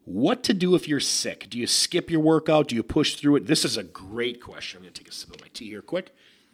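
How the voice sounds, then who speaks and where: A man at a fairly quick pace, with vocal fry and very wide pitch swings. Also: hardly any pauses, big swings in loudness. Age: 30s. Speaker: bodybuilder and fitness podcast host. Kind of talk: casual solo podcast Q&A. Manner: animated.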